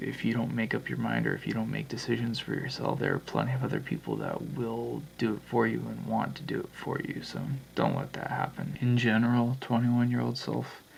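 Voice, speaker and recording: Speaking at a fairly quick clip with hardly any pauses, a man talks over noticeable background noise. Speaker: vlogger. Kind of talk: vlog monologue. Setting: at home at night.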